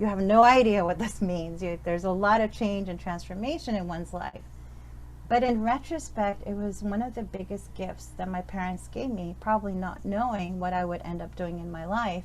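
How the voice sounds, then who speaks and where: Audible room echo around a woman talking at a moderate pace. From born in Pakistan, raised in Western Europe, Middle East, New York. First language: Urdu. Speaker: professor. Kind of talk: talk at speaker series. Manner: hesitant, many fillers.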